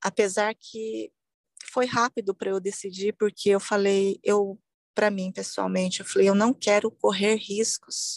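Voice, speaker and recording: Fairly slow speech from a woman, flat and monotone in intonation, pitched in the middle of her range. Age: 40s. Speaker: breast cancer survivor. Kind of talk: testimony.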